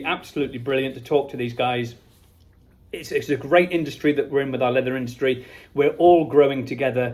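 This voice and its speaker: A man talks at a very fast pace with an English accent. His pitch is fairly high. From England. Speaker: company owner vlogging from a trade show. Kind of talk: casual vlog monologue. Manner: animated.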